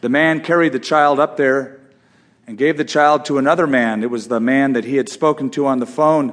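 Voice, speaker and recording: At a moderate pace, a man speaks in a fairly high pitch with an animated, dramatic tone. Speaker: Bible teacher. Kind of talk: sermon-style Bible teaching, with a suspenseful told-story passage at 3:53. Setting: audiobook recording. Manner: animated, teaching, explanatory.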